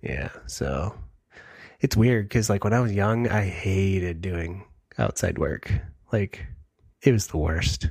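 A man speaks at a fairly slow pace with long, frequent pauses. His fairly low voice is somewhat breathy, with lively intonation. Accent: Midwestern American. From US Midwest, Michigan. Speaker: podcast co-host. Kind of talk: casual chat. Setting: video call.

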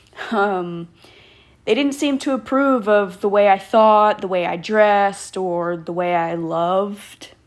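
An ordinary speaking voice from a woman with an American accent, medium pitch, ordinary pitch variation and a fairly slow pace. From Texas, Killeen area. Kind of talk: personal storytelling monologue. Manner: casual, laughing often.

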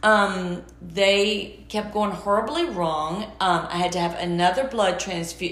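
A woman with an American accent speaks at a fairly slow pace with ordinary pitch variation. Audible room echo and noticeable background noise fill the recording. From US South, Georgia. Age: 50s. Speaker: interior designer, cancer survivor. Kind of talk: interview. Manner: animated.

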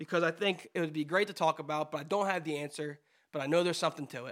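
On a very clean recording with a silent background, a man with an American accent speaks very fast in a bright, sharp tone. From New Jersey. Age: 20s. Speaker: podcast co-host. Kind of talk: casual chat.

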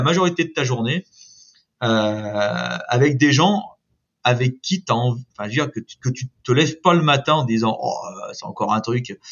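This man speaks fairly slowly. His intonation stays lively. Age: 50s. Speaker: construction company branch director. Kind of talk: interview. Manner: hesitant, many repetitions and fillers.

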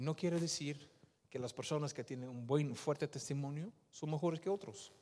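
Speaking at a moderate pace, a man with a fairly high pitch sounds animated, with ordinary pitch variation. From Netherlands, Surinamese-Indonesian parents. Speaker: lay preacher. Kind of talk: sermon with testimony. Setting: church.

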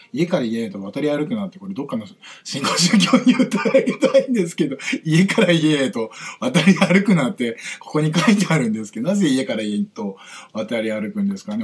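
Here a man speaks with a fairly high pitch. His voice moves in very wide pitch swings. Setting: livestream with viewer comments. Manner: fast.

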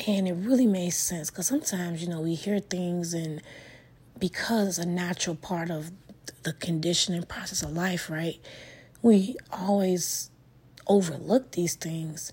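Her tone dark and mellow and somewhat breathy, a woman speaks at a fairly low pitch with ordinary pitch variation. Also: moderate pace. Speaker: podcast host. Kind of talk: solo motivational monologue. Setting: home living room.

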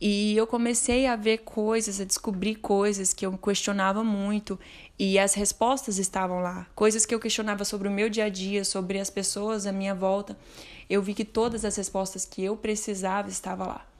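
At a moderate pace and medium pitch, a woman speaks with monotone, flat intonation in a very clean recording with a silent background. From Minas Gerais, Brazil (Uberlândia). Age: 20s. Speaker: book recommender. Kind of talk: recorded testimony.

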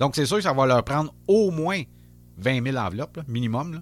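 In a very clean recording with a silent background, a man speaks at a medium pitch. His intonation is lively and his pace moderate. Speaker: podcast host. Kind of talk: casual chat.

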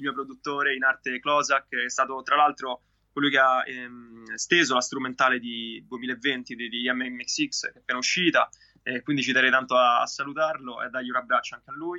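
At a fairly quick pace, a man talks in a monotone, flat intonation at medium pitch, his loudness swinging widely. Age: 20s. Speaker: singer-songwriter. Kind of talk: interview.

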